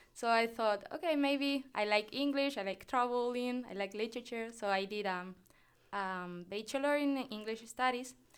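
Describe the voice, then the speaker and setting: On a very clean recording with a silent background, a woman with a Spanish accent speaks at a moderate pace with ordinary pitch variation. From Canary Islands, Spain (Tenerife). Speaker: graduate student and podcast interviewer. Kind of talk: casual interview. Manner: laughs often; halting.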